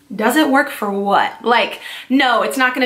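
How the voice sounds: Bright, sharp tone in a Californian accent, fairly even intonation and audible room echo. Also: woman. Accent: Californian American.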